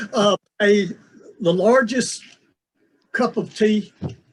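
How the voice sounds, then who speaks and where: A man with an Appalachian accent speaks with ordinary pitch variation. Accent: southern US Appalachian. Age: 60s. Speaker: professor and writer. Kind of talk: interview. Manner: halting, many fillers and repeats.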